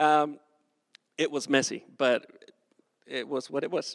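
A man speaks with a Spanish accent at a fairly slow pace. The sound is dry and close, with no echo. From southern Mexico (Acapulco). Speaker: pastor. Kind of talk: sermon.

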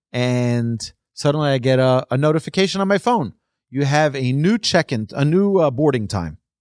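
A man speaks in an unremarkable speaking voice at a fairly high pitch, with lively intonation and a moderate pace, in a very clean recording with a silent background and a dry, close sound with no echo. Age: 40s. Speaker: rabbi and Torah teacher. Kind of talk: religious lecture.

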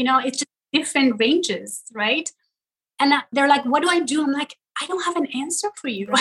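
Lively intonation and a moderate pace mark this voice in a Persian accent. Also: woman, high pitch for a woman. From Iran, Tehran. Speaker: social media comedian. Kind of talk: interview.

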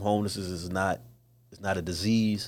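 The man's voice sits at a fairly low pitch. He speaks at a moderate pace with fairly even intonation. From East Baltimore, Maryland, US. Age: 30s. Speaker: youth outreach worker. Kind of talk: casual interview.

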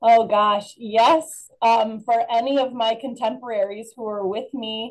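A woman speaks in a Midwestern American accent. Her pitch is fairly high and her pace fairly slow. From northern Illinois, Rockford area. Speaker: alumna, former missionary. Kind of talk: interview.

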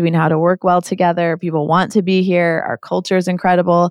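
A woman's fairly low voice in a monotone, flat intonation at a fairly quick pace, dry and close with no echo, on a very clean recording with a silent background. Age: 40s. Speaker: agency CEO. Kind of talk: interview.

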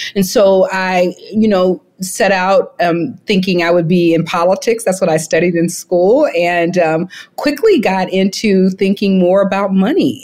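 This woman has a medium-pitched voice with a dark, mellow tone and a slight Alabama accent. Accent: Southern US (Alabama), slight twang. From Mobile, Alabama, US South. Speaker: founder and CEO, author. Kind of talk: interview, conversational. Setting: remote call from Jamaica.

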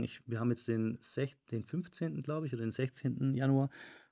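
Heard in a dry, close sound with no echo, a man with an ordinary speaking voice talks at a moderate pace and medium pitch with ordinary pitch variation. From Germany, Stuttgart (Swabia). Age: 30s. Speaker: podcast host, fitness studio owner and business coach. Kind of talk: solo podcast monologue, business advice. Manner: casual with frequent filler sounds.

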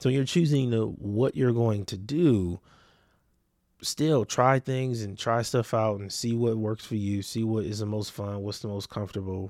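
With an American accent, a man speaks in a plain, everyday voice at a medium pitch and ordinary pitch variation, in a very clean recording with a silent background. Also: fairly slow pace. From US West Coast, Los Angeles area (Compton, Watts, Long Beach). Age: 30s. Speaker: podcast host and entrepreneur. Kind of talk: solo podcast monologue, casual reflection. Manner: casual, conversational.

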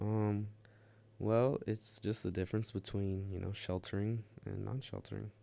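Speaking at a moderate pace, a man with a fairly low pitch and a dark, mellow tone keeps a monotone, flat intonation in a very clean recording with a silent background. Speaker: college radio host. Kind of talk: casual chat. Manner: deadpan.

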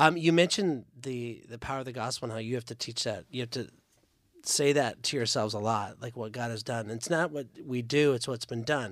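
At a fairly quick pace, a man speaks in an ordinary speaking voice, medium in pitch, with ordinary pitch variation. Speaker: church podcast host. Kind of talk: casual chat. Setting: studio.

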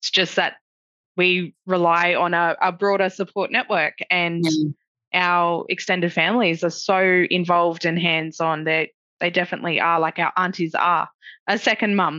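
A woman with an Australian accent talks at a moderate pace in a bright, sharp tone, with fairly even intonation and very even loudness, her sound dry and close with no echo against a quiet background. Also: fairly low pitch for a woman. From Lismore, Northern Rivers, New South Wales. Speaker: project officer and student. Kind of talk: webinar interview. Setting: video call.

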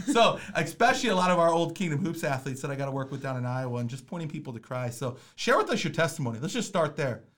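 Talking at a very fast pace with hardly any pauses, a man with an American accent has a fairly high pitch and lively intonation. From Minnesota. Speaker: podcast host and basketball coach. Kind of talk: casual chat. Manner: animated.

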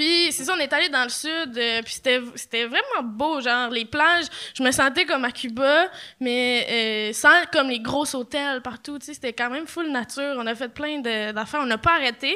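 A woman projects a raised voice, high-pitched and bright with a sharp tone. Her pitch varies in an ordinary way. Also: fairly slow pace. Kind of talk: casual chat. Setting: stage with audience.

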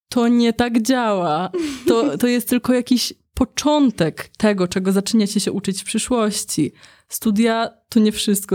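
In a very clean recording with a silent background and a dry, close sound with no echo, a woman with a fairly high pitch and a dark, mellow tone talks at a moderate pace with ordinary pitch variation. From Poland, Warsaw. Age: 30s. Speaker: video engineer and graphic designer. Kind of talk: casual interview.

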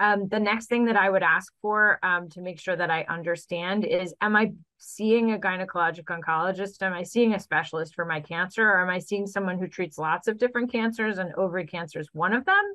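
Talking at a fairly quick pace with hardly any pauses, a woman has an unremarkable speaking voice, a medium pitch, and fairly even intonation. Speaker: gynecologic oncologist. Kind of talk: interview answers explaining medical topics.

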